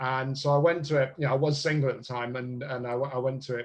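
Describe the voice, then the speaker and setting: With monotone, flat intonation, a man speaks in a somewhat breathy voice. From southern England, Bristol. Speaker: speed dating business owner. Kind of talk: podcast interview. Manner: halting.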